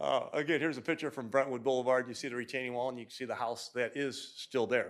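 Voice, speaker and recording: Speaking very fast at a medium pitch, a man keeps a monotone, flat intonation while his loudness swings widely. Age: 60s. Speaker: engineer presenting a development plan. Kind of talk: project presentation at public hearing. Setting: city commission meeting. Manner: casual, self-deprecating, with many fillers.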